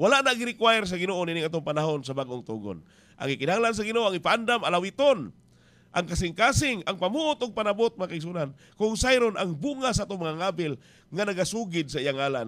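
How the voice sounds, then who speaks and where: A man talks with very wide pitch swings. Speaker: radio preacher. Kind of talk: radio sermon. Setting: radio station. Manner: earnest, exhortative preaching. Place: booth. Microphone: studio mic.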